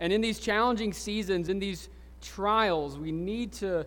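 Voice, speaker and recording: A man speaks in a Southern US accent at a fairly slow pace. His pitch is high, with ordinary variation. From US South, Alabama Gulf Coast. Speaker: pastor. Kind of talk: sermon. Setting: church. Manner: halting.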